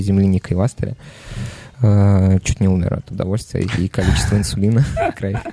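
In a normal speaking voice, someone talks at a moderate pace with fairly even intonation, the sound dry and close with no echo. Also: man. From Nizhny Novgorod, Russia. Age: 20s. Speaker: bar manager. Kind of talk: casual chat.

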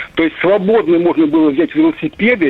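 A man speaks over noticeable background noise. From Russia, Moscow region. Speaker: radio caller. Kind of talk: phone-in comment. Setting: phone call.

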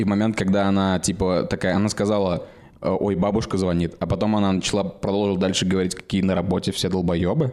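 Delivery is very fast, with monotone, flat intonation and very even loudness. The recording is very clean with a silent background. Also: man, very deep, low pitch for a man. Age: 20s. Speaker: podcast co-host. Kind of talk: casual chat.

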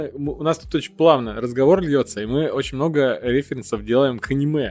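A normal speaking voice from a man, fairly high in pitch, at a moderate pace, with ordinary pitch variation. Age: 30s. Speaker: podcast host. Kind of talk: casual chat.

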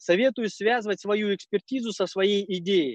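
The recording is dry and close, with no echo and a quiet background. A man speaks fairly slowly in a high pitch with ordinary pitch variation. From Kazakhstan. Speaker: social entrepreneur. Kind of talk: conference talk.

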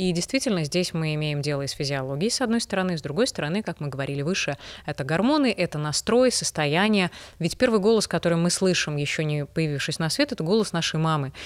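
A woman with a fairly low voice speaks very fast with lively intonation. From Belarus. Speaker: voice trainer, former news presenter. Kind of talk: interview, explanatory talk.

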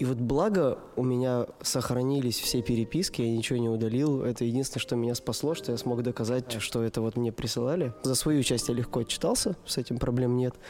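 A man speaks at a fairly quick pace and a medium pitch, with hardly any pauses and fairly even intonation. His loudness stays very even over noticeable background noise. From Russia, Perm. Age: 30s. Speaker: dance studio owner and event organizer. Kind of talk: casual interview chat. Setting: studio.

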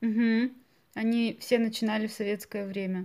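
A woman with a fairly high pitch speaks at a fairly slow pace and fairly even intonation on a very clean recording with a silent background. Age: 20s. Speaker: podcast host, Russian language teacher. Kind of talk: language-learning podcast interview. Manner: slow and clear for learners.

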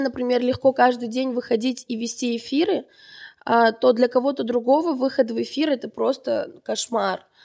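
A high-pitched woman speaking fairly slowly, in a very clean recording with a silent background. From Armenian family. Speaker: marketing producer. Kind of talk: podcast interview. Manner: animated.

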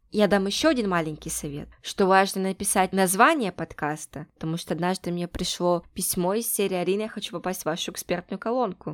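A woman at a fairly quick pace, with ordinary pitch variation and hardly any pauses. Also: medium pitch for a woman, dry, close sound with no echo, very clean recording, silent background. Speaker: podcast host and producer. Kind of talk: casual interview.

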